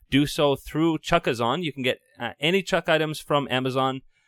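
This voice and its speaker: A plain, everyday voice talks at a fairly quick pace, with a dry, close sound with no echo. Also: man. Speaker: podcast host. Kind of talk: casual chat.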